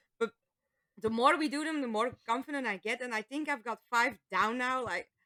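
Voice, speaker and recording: A woman speaks in a high voice with a non-native accent. Her tone is bright and sharp, and the sound is dry and close with no echo. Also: ordinary pitch variation, moderate pace. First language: Dutch. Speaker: voice actor. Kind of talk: casual chat.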